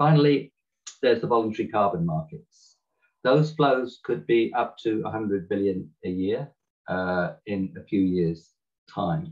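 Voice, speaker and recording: Here is a man with a British accent and a fairly low pitch. His intonation is lively. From Britain. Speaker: climate economist. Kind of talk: webinar talk. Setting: video call.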